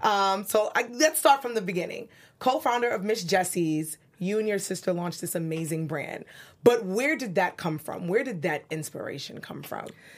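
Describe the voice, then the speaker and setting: In a New York accent, a woman of medium pitch speaks at a moderate pace with an animated tone. Her pitch swings very widely and her loudness shifts a lot. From New York City (Brooklyn). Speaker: online show host. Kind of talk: interview. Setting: studio.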